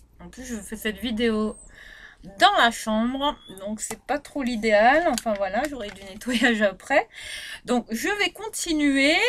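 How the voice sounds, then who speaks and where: Over noticeable background noise, a woman with a high voice and lively intonation speaks at a very slow pace with long, frequent pauses. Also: big swings in loudness. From Réunion. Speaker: beauty vlogger. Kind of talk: product review vlog. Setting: bedroom.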